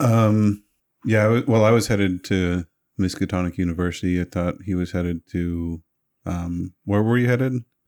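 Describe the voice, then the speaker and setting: Very deep and low in pitch with ordinary pitch variation, a man speaks in a very clean, dry, close recording with a silent background and no echo. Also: moderate pace. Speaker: tabletop role-play player. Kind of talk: tabletop role-play session.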